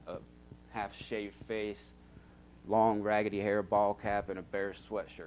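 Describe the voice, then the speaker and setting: This man has an unremarkable speaking voice, fairly low in pitch, with an American accent and ordinary pitch variation. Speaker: church member giving testimony. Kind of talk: testimony. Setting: church. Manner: casual.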